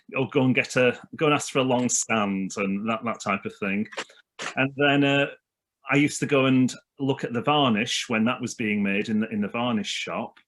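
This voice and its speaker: A man with a Lancashire accent speaks at a medium pitch and a moderate pace, his pitch varying in an ordinary way, on a very clean recording with a silent background. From northern England (Leyland, Lancashire). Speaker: minister. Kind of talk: casual chat.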